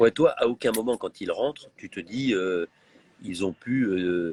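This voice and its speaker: Heard in a dry, close sound with no echo, a man speaks at a fairly slow pace with ordinary pitch variation. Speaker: reality TV presenter hosting a live. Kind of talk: live-stream interview. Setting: airport lounge. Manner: speaking quietly.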